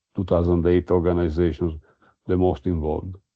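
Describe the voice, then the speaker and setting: This man's voice is very deep and low. He speaks at a fairly quick pace. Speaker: sociology professor presenting research. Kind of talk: academic lecture. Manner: halting, many repetitions and fillers.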